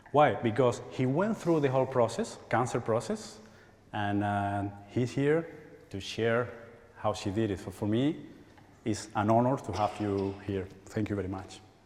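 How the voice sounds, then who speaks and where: A man talks at a fairly slow pace, his pitch varying in an ordinary way, and the room's echo is audible. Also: medium pitch for a man. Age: 40s. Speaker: spiritual healer. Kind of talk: workshop talk. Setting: church stage with audience.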